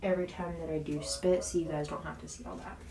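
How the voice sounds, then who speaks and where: A woman is speaking. Her voice carries audible room echo over noticeable background noise. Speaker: beauty and lifestyle vlogger. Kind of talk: casual vlog talk. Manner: casual, filler-heavy.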